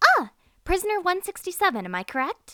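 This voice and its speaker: A woman uses a put-on character voice that is squeaky and extremely high-pitched. She talks at a fairly quick pace. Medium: audio drama. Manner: polite, earnest.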